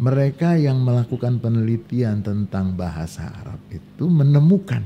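Very wide pitch swings run through speech at a moderate pace, with light background noise behind it. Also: man. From Indonesia. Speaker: Islamic scholar; podcast guest. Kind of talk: casual chat. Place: studio. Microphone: studio mic.

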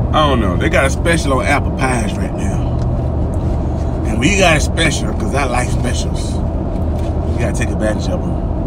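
At a moderate pace, a man speaks while loud noise fills the background. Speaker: vlogger. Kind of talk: casual vlog chat. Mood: playful, relaxed. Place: car. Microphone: phone near.

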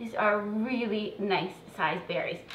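In a room with audible echo and light background noise, a woman speaks at a fairly slow pace. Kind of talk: tutorial. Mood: warm, chatty. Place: kitchen. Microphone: camera far.

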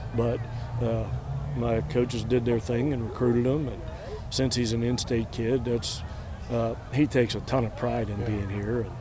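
A man at a fairly quick pace with fairly even intonation, dry with no echo, over noticeable background noise. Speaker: baseball coach. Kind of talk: interview answer. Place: stadium. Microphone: handheld.

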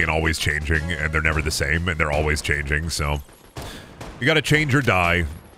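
A man talks at a fairly quick pace in a bright, sharp tone with lively intonation, faint music playing in the background.

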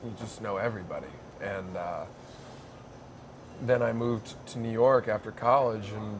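A man in a flat monotone over noticeable background noise. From Maine. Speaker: stand-up comedian. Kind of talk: interview answer. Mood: relaxed, reflective. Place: cafe. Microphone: lapel.

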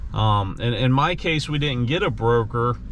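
A man at a very slow pace, dry sound with no echo and light background noise. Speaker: dog owner vlogger. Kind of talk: casual vlog chat. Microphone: phone near.

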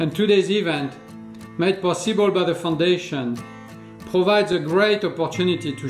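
Clear music plays in the background as a man with a high pitch speaks with ordinary pitch variation and audible room echo. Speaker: guest. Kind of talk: prepared speech. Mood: warm, upbeat. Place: home room.

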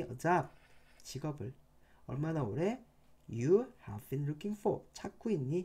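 A man talks at a very slow pace. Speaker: English teacher. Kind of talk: lecture. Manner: casual. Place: home room.

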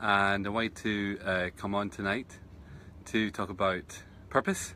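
At a fairly slow pace, the voice has a bright, sharp tone, heard as a dry sound with no echo over light background noise. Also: man. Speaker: meditation teacher. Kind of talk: casual live-stream chat. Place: garden. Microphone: phone near.

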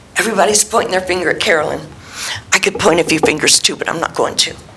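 Noticeable noise can be heard behind a woman as she talks. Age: 60s. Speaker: member of the public speaking at council. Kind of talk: public comment. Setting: city council meeting hall. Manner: emphatic.

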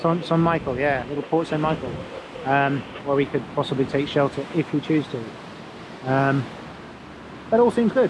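Pausing long and often, a man speaks at a moderate pace with ordinary pitch variation, the sound dry with no echo and noticeable background noise. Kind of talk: casual vlog chat. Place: boat. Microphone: phone near.

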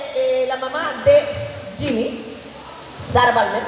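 A woman speaking slowly with fairly even intonation, audible room echo, and faint crowd noise and faint music in the background.

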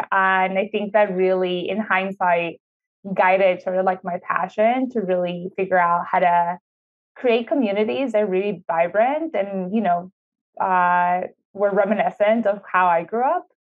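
A woman speaks with a Spanish accent. The background is quiet. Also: ordinary pitch variation, moderate pace. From Ecuador (Quito), moved to Houston, Texas at 13. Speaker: city sustainability official, architect and urban planner; guest. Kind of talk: interview conversation. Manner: frequent fillers (um, uh). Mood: warm, upbeat. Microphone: earbuds.

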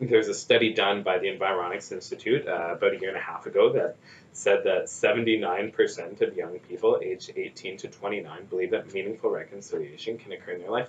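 Talking at a fairly quick pace with hardly any pauses, a man with a Canadian Prairie accent shows big swings in loudness over light background noise. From Saskatchewan, Canada (First Nation). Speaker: nonprofit executive director. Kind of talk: interview. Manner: halting, many fillers and repetitions. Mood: thoughtful, earnest. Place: office. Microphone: camera far.

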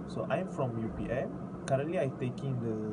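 Over loud background noise, a man speaks at a moderate pace with ordinary pitch variation. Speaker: university student tutor. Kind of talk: self-introduction. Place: home room. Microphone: phone near.

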